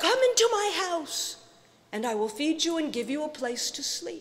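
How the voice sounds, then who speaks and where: Woman's put-on character voice, extremely high in pitch with very wide pitch swings, at a moderate pace. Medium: read story. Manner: calm, assured.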